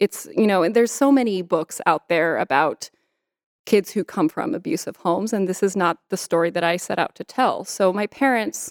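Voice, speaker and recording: In a very clean recording with a silent background and a dry, close sound with no echo, a woman with an unremarkable speaking voice talks at a moderate pace and medium pitch, her intonation lively. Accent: American. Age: 30s. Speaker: author. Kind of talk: interview.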